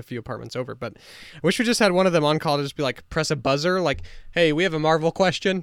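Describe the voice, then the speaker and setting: A man's voice sits at a fairly high pitch. He speaks at a very fast pace. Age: 20s. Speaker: podcast co-host. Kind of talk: casual chat. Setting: remote recording. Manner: animated.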